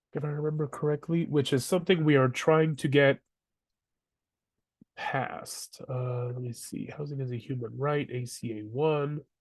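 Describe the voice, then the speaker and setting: A somewhat breathy man's voice, fairly high in pitch, with fairly even intonation, big swings in loudness, a moderate pace and a quiet background. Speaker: housing advocacy educator. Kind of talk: webinar presentation.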